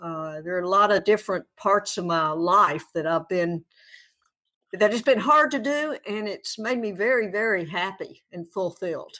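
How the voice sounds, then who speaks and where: A woman with a slight Southern US accent speaks at a moderate pace and medium pitch, her tone bright and sharp and her intonation lively. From Tennessee. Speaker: advocate and former coach. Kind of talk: casual interview.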